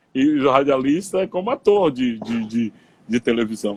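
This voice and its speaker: Heard in a dry, close sound with no echo, a man talks rather slowly. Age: 60s. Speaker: radio broadcaster. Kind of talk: interview on live stream. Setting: Instagram live video call.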